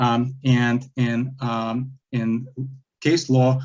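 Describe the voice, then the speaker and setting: A man with a Lithuanian accent talks at a medium pitch with fairly even intonation. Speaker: self-represented appellant. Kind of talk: appellate oral argument. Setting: courtroom. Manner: halting, many fillers.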